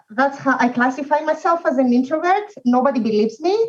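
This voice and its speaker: A woman's high-pitched voice with a non-native accent and ordinary pitch variation. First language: not English. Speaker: language industry professional. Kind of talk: casual chat. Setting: video call. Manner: mumbling.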